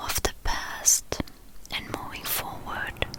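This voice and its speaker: Noticeable noise fills the background. Through it, a woman whispers very slowly. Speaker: ASMR artist. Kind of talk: guided reflection. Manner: whispered, soft.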